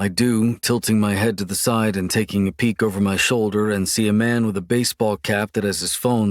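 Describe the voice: Fairly even intonation marks this delivery. It is plain reading aloud.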